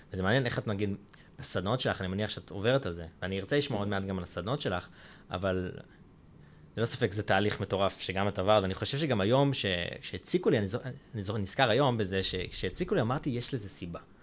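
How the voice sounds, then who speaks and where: Speaking at a very fast pace and a fairly low pitch with ordinary pitch variation, a man is captured on a very clean recording with a silent background. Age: 20s. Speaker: podcast host. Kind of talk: interview.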